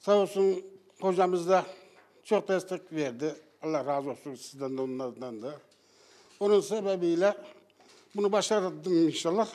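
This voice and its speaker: Pausing long and often, a man speaks at a fairly slow pace in a high pitch with lively intonation. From Central Anatolia, Turkey (Kayseri Yeşilhisar). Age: 60s. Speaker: former smoker. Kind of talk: street interview.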